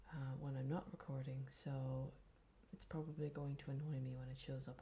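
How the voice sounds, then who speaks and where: Soft-spoken and calm, a woman speaks at a very deep, low pitch with a dark, mellow, somewhat breathy tone. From Ireland. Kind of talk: ASMR gaming commentary. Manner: soft-spoken, quiet; slow, calm.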